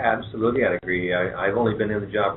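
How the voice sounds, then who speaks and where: Very fast, monotone speech with a Canadian accent, set against audible room echo and noticeable background noise. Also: man. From southwestern Ontario, Canada (London, Ontario). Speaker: head of an economic development agency. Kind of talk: radio talk show interview.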